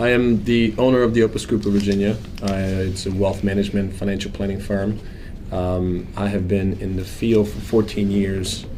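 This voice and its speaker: A man with a Croatian accent speaks at a moderate pace in a fairly low, monotone, flat voice. The recording has noticeable background noise and audible room echo. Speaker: financial planner. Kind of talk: interview.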